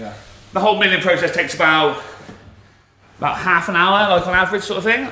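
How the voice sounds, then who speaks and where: With a Shropshire accent, a man speaks with ordinary pitch variation over noticeable background noise. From West Midlands of England. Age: 20s. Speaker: brewer. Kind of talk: guided tour explanation. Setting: walking around a brewery. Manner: casual, uses lots of fillers.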